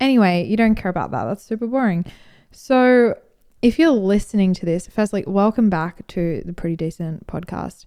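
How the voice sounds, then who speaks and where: An Australian-accented woman at a moderate pace, medium pitch and lively intonation, with a dark, mellow tone in a very clean recording against a silent background. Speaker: podcast host and brand marketer. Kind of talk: casual monologue. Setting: at home on the couch.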